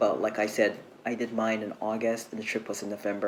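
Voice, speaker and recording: Against noticeable background noise, a soft-spoken man with a fairly low pitch talks at a moderate pace. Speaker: travel vlogger. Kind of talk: tutorial. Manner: soft-spoken, speaking low; casual, chatty.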